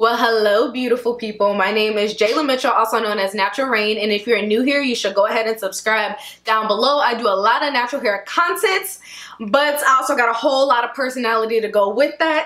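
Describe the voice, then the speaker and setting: The speaker goes at a very fast pace with ordinary pitch variation. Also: woman. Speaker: hair care vlogger. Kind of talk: casual vlog chat.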